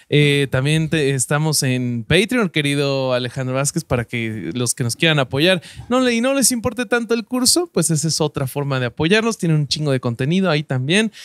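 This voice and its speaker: Speaking in a Mexican accent at a moderate pace with hardly any pauses, a man with a fairly high pitch swings very widely in pitch, the sound dry and close with no echo. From Mexico. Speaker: podcast host and stand-up comedian. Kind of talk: casual chat.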